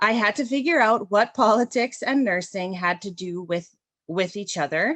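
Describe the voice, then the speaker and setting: A woman with a Canadian accent speaks at a moderate pace in a medium pitch, her intonation lively. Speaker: registered practical nurse and union activist. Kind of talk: prepared speech. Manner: loud.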